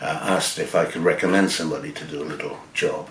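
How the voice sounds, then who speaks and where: A man with an English accent speaks at a moderate pace. Audible room echo and noticeable background noise surround him. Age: 70s. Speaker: photographer. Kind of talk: personal storytelling. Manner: halting, many fillers.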